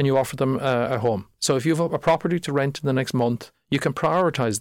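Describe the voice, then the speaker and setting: With a Cork accent, the speaker goes at a fairly quick pace with ordinary pitch variation, on a very clean recording with a silent background. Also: man. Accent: Cork Irish. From Ireland, North Cork. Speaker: startup founder. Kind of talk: podcast interview.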